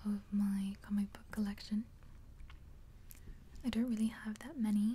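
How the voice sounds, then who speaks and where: A woman whispers, soft-spoken, moving at a fairly slow pace. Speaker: ASMR creator. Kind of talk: ASMR soft-spoken show and tell. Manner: soft-spoken, whispered. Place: home room.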